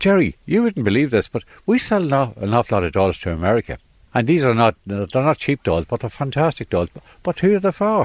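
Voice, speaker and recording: Speaking fairly quickly in an Irish accent, a man at a medium pitch makes very wide pitch swings, the sound dry and close with no echo. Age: 70s. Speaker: toy shop owner. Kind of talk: interview. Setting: in a shop.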